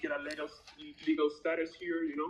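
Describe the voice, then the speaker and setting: Speaking in a Spanish accent, a man with a fairly high pitch keeps a monotone, flat intonation. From Venezuela. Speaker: job applicant, soccer coach. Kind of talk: job interview. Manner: halting.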